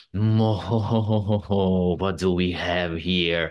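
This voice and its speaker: Here a man adopts a put-on character voice. It lands very deep and low. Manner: menacing.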